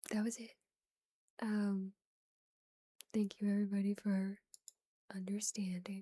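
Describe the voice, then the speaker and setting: A woman's somewhat breathy voice, dark and mellow in tone, fairly slow and flat in intonation, with long, frequent pauses and a dry, close sound with no echo. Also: medium pitch for a woman. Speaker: ASMR streamer. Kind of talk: casual chat. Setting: live stream.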